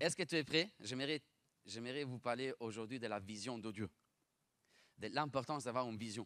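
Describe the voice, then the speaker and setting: A man's medium-pitched voice, bright and sharp in tone, at a fairly quick pace with long, frequent pauses, ordinary pitch variation, and a dry, close sound with no echo. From Italy (Bologna). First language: Italian (speaking French). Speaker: pastor. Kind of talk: sermon. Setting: church. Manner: fast; animated.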